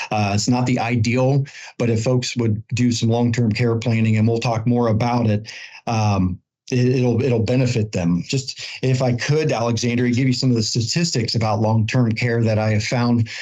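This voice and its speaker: A man with a normal speaking voice talks at a medium pitch and a moderate pace, his loudness very even and his intonation fairly even. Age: 40s. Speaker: insurance expert. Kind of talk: podcast interview.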